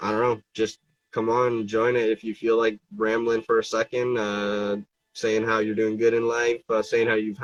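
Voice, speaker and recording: A man at medium pitch and moderate pace, monotone and flat, in a dry, close sound with no echo. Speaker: fingerboard brand owner and live streamer. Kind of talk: casual live stream chat. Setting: Instagram live stream. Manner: halting, hesitant with fillers.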